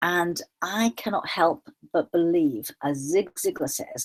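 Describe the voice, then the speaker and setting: A woman with an animated tone makes very wide pitch swings, the sound dry and close with no echo. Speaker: online show host, law of attraction. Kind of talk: solo video talk.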